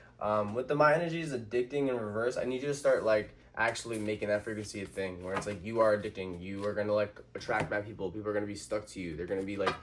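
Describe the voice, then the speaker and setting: An animated voice races along at a very fast clip with hardly any pauses. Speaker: tarot reader. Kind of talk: tarot reading monologue.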